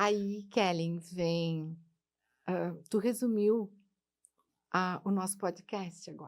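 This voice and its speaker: A woman with a medium pitch speaks at a very slow pace, leaving long, frequent pauses, her intonation fairly even while her loudness swings widely. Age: 60s. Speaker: life coach and speaker. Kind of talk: podcast interview.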